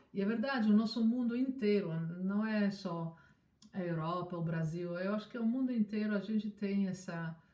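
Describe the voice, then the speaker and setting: A woman speaks at a medium pitch. Noticeable background noise can be heard behind her. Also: ordinary pitch variation, moderate pace. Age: 60s. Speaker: scientist. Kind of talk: interview. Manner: halting.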